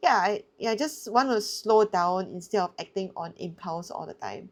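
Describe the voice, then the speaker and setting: A woman with an ordinary speaking voice talks at a moderate pace and medium pitch, with ordinary pitch variation, in a very clean recording with a silent background. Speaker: bridge player and video creator. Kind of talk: casual self-review commentary.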